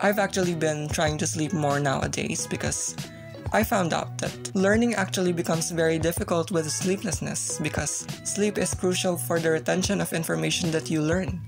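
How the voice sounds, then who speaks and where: Over music in the background, a woman with a very deep, low pitch speaks with lively intonation and very even loudness. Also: moderate pace. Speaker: digital artist. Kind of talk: casual voice-over talk.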